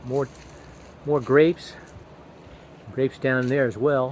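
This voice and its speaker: A man talks at a moderate pace. His pitch sits in the medium range. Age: 60s. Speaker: hobby gardener and RV builder. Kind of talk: casual garden tour vlog. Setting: outdoors in garden. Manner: casual, halting with repetitions.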